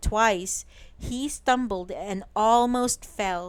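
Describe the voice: The clip is plain reading aloud, and the pitch rises and falls in an ordinary way.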